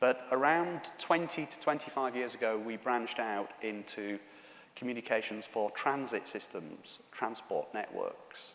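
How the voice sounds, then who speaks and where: Speaking in a Yorkshire accent, a man uses a medium pitch with ordinary pitch variation at a fairly slow pace. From Yorkshire, northern England. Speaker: conference speaker, telecom executive. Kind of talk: conference presentation. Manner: hesitant, many fillers.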